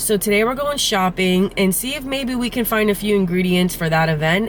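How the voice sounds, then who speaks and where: Over noticeable background noise, someone with a New Jersey accent talks at a fairly quick pace with lively intonation. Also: woman. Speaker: farmer and farm vlogger. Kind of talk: casual vlog narration.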